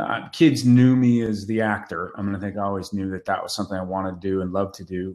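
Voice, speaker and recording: A plain, everyday voice: a man with an American accent, fairly low in pitch, fairly quick in pace, with fairly even intonation. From Northern California. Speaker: actor. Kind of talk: casual interview. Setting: video call. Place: home room. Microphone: webcam.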